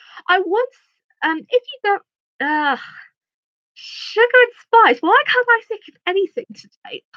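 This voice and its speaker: Using a raised, projected voice at an extremely high pitch, a woman speaks at a fairly slow pace with long, frequent pauses, very wide pitch swings and big swings in loudness, in a dry, close sound with no echo. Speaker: YouTuber. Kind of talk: livestream chat. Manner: stuttering, halting.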